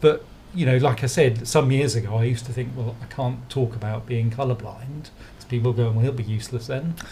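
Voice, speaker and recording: With an English accent, a man speaks at a fairly quick pace in a medium pitch, his tone dark and mellow and somewhat breathy, his intonation fairly even, with big swings in loudness. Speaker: designer. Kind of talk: podcast interview.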